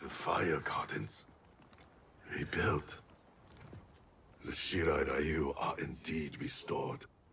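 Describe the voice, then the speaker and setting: In a cartoonish character voice, a man speaks with a solemn tone at a very slow pace, with long, frequent pauses. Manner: terse, solemn.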